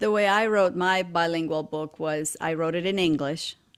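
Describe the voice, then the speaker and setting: The recording is very clean, with a silent background. A woman with a Romanian accent speaks at a moderate pace with a fairly low pitch and ordinary pitch variation. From Romania, Transylvania. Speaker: educator and podcast host. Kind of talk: interview conversation.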